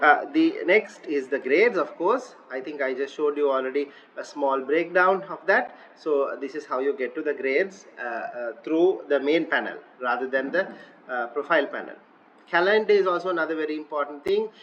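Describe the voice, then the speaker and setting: Over noticeable background noise, a man with a fairly high pitch talks fairly quickly with ordinary pitch variation. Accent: Sri Lankan. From Sri Lanka. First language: Sinhala. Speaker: online teaching tutor. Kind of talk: screen-recorded software tutorial. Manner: hesitant, many filler uhs.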